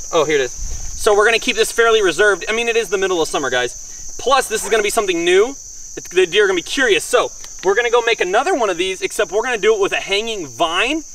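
Talking at a very fast pace, a man swings his pitch very widely, the sound dry with no echo and light background noise behind him. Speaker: hunting video host. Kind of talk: outdoor tutorial. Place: open country. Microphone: camera far.

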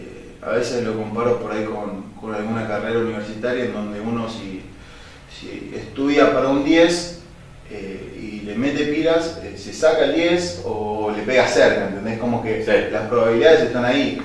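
Amid light background noise and strong room echo, a man speaks at a moderate pace with ordinary pitch variation and big swings in loudness. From Buenos Aires, Argentina; Argentina. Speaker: football goalkeeper; interview guest. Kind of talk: interview. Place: studio.

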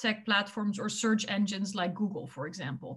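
A woman's voice comes across somewhat breathy and fairly high in pitch. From Netherlands. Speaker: tech policy expert, former politician; former politician. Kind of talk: interview. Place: home room. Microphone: webcam.

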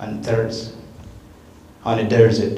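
This man speaks with a South Sudanese accent at a medium pitch. Light background noise and audible room echo surround him. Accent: South Sudanese (Dinka) English. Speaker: refugee speaker, student; guest. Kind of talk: public talk. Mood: earnest, reflective. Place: hall.

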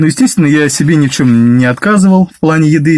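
Against a quiet background, a man talks at a very fast pace with lively intonation. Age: 30s. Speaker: driver sharing weight-loss story; vlogger telling his weight-loss story. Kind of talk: personal testimony monologue; casual vlog chat. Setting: self-recorded video. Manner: halting with fillers. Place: car. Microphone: phone near.

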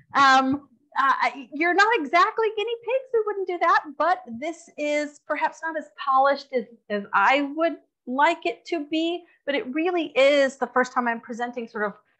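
Against a quiet background, a woman uses a raised, projected voice with a bright, sharp tone at a moderate pace. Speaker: art history lecturer. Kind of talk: lecture. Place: hall.

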